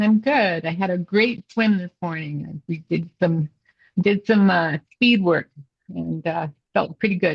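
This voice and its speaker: A woman speaks very slowly in a medium, somewhat breathy voice with ordinary pitch variation. The sound is dry and close with no echo. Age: 70s. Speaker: triathlete, retired midwife. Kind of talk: interview answer.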